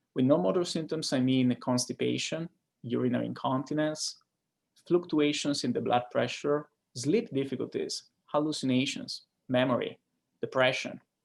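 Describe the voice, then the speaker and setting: With an Italian accent, a man talks at a fairly high pitch with ordinary pitch variation. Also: moderate pace. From Italy. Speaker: neurologist. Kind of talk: lecture. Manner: hesitant, frequent fillers.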